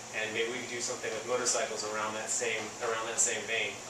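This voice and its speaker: Talking at a very fast pace, a man is heard through audible room echo. Noticeable background noise runs underneath. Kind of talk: interview answer. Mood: enthusiastic about plans. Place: garage. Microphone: camera far.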